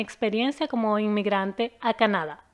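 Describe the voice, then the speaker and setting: A woman's unremarkable speaking voice, fairly high in pitch, at a moderate pace with fairly even intonation. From Venezuela, Caracas. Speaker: immigration lawyer. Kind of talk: channel introduction.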